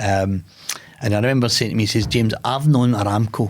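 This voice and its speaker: This man speaks in a Glasgow accent, fairly low in pitch and somewhat breathy, at a fairly quick pace. The recording is very clean with a silent background. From Scotland, Glasgow. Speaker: podcast host and businessman. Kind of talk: conversational interview, telling a personal story. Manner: plain-spoken, informal.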